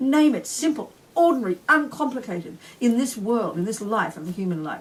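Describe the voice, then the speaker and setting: With an Australian accent, a woman speaks in an animated tone. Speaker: Buddhist nun and teacher. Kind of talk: dharma teaching. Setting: retreat talk with audience. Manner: fast.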